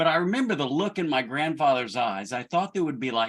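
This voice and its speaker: With lively intonation, a man speaks in a Southern accent at a fairly high pitch. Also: very clean recording, silent background. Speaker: church leadership director. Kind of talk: personal storytelling.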